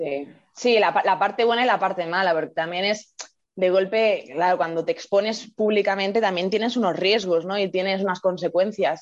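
The woman has a plain, everyday voice at a medium pitch. She speaks at a moderate pace with fairly even intonation. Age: 20s. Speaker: educator and online video creator. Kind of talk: casual interview.

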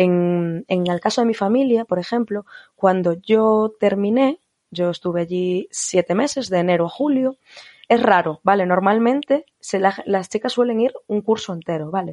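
The woman's voice sits at a medium pitch with a dark, mellow tone and ordinary pitch variation. She talks at a fairly slow pace, and the sound is dry and close with no echo. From Spain. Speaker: former au pair, psychology graduate. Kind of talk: interview.

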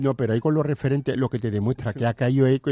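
Speaking very fast, a man has a medium pitch and fairly even intonation. His tone is dark and mellow, with a dry, close sound and no echo. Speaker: radio co-host. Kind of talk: casual chat.

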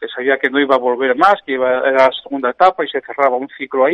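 A plain, everyday voice goes at a fairly quick pace, its pitch variation ordinary. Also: man. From Oviedo, Asturias, Spain. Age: 50s. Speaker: football coach. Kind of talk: radio interview.

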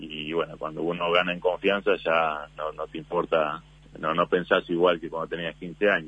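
At a moderate pace, a man speaks with a very deep, low pitch and monotone, flat intonation. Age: 30s. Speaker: basketball player. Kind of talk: radio interview.

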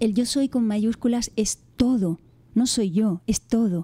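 A woman's fairly high, somewhat breathy voice in a gentle, dark, mellow tone, with ordinary pitch variation, the sound dry and close with no echo, on a very clean recording with a silent background. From Canary Islands. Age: 50s. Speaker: author and former teacher. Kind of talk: interview.

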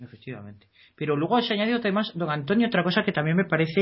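Very fast, a man talks at a high pitch. His pitch swings very widely. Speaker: legal commentator. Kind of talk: reading aloud; radio discussion.

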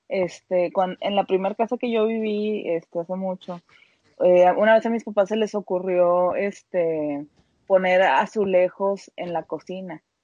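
A woman speaks at a medium pitch and a fairly slow pace. Her intonation stays fairly even in an ordinary speaking voice. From Mexico, Monterrey. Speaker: podcast co-host. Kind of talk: casual chat.

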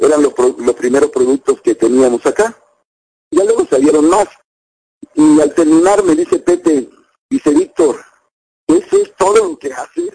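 A man speaks at a moderate pace. Long, frequent pauses break up his speech. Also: dry, close sound with no echo. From Mexico, Veracruz. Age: 50s. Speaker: network marketing distributor. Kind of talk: testimony. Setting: internet video link.

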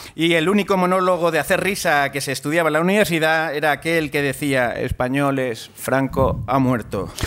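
Against noticeable background noise, a man with a fairly high pitch speaks at a moderate pace with ordinary pitch variation and hardly any pauses. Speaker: comedy quiz show host. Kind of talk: comedic quiz hosting before live audience. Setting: university venue with live audience.

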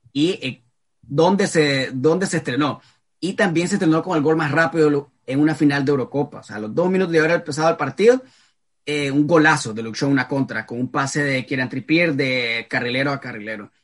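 In a normal speaking voice, the speaker moves at a fairly quick pace with ordinary pitch variation. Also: man, fairly high pitch for a man. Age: 20s. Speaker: football podcast host. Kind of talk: casual chat.

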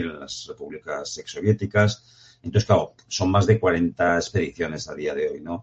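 A man keeps a moderate pace as noticeable background noise carries on behind him. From Aragon, Spain (Jaca). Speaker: professional mountaineer. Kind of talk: interview.

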